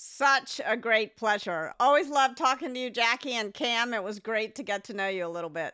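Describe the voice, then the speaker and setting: Her tone bright and sharp, a woman talks at a moderate pace with lively intonation and a fairly high pitch, on a very clean recording with a silent background. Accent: American. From Memphis, US South. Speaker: podcast co-host.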